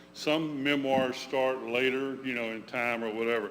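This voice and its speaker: Loud and bright with a sharp tone, a man's medium-pitched voice holds fairly even intonation amid audible room echo. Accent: American. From Georgia, US South. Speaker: memoir author. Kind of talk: talk to congregation. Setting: church room with audience, livestreamed.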